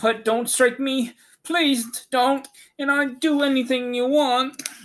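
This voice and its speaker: A put-on character voice, high and shaky, at a fairly slow pace. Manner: trembling, pleading.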